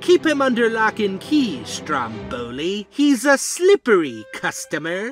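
A cartoonish character voice with a fairly high pitch moves at a fairly slow pace over faint background music. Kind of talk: cartoon comic dub. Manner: pompous, flowery, theatrical.

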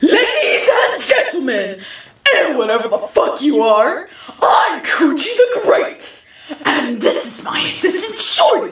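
Pitched extremely high, a put-on character voice moves at a fairly slow pace with a slight echo. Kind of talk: mock game-show host patter. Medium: short film. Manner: showy, taunting, theatrical.

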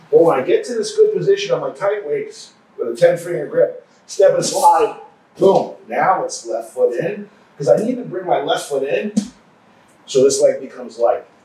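Light background noise and audible room echo around a man talking at a moderate speed. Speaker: grappling coach. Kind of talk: tutorial. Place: gym.

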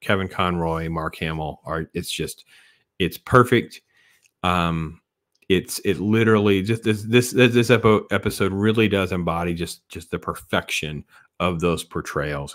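Against a quiet background, a man with a very deep, low voice speaks at a moderate pace with ordinary pitch variation. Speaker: cartoon review channel host. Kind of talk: casual vlog chat. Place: home room. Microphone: studio mic.

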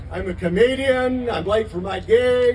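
A man's extremely high-pitched voice over crowd noise in the background. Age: 80s+. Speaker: stand-up comedian. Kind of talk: stand-up comedy set. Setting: outdoors. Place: stage. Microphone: pa.

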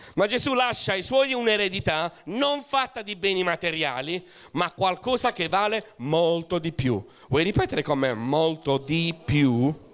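Faint music plays behind a man speaking at a fairly slow pace, high in pitch. His tone is animated, with very wide pitch swings. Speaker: pastor. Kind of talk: sermon. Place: church. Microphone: handheld.

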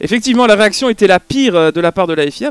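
A man speaks at a fairly quick pace, the sound dry with no echo. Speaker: podcast co-host. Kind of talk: commentary discussion. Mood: critical, measured. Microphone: headset.

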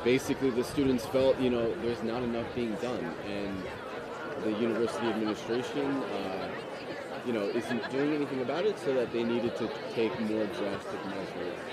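The speech moves at a fairly quick pace over loud background noise. The sound is dry, with no echo. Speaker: livestream reporter. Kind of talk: live on-location commentary. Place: open country. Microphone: phone near.

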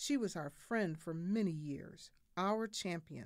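The woman's intonation is lively while her pace is very slow. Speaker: reader of historical speeches. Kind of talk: reading of a historical eulogy. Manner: solemn, mournful.

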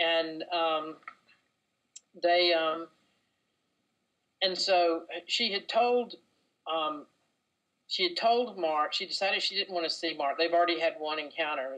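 In a Southern US accent, a woman speaks at a fairly slow pace with long, frequent pauses, a fairly low pitch and ordinary pitch variation. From North Carolina, US. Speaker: novelist. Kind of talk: interview answer.

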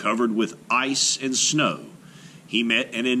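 The text is read aloud in a natural voice, its intonation fairly even.

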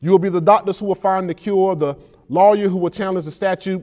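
A man with a high-pitched yet dark, mellow voice, talking very fast with fairly even intonation against a quiet background. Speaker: poet. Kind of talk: spoken word poetry performance. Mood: earnest, emotional, uplifting. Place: studio. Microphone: lapel.

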